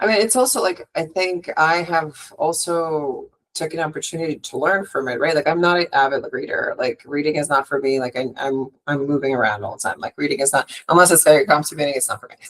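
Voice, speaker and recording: Her tone animated, a woman talks at a fairly quick pace with hardly any pauses. Her pitch is very deep and low, with ordinary variation. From Russia, Moscow. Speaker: hotel sales and marketing director. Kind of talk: podcast interview.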